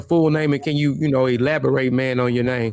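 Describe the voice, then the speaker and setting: A man at medium pitch with a strong Southern US accent and fairly even intonation. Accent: thick country Southern. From Mississippi, US South. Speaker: interview show host. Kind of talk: casual interview. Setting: live stream.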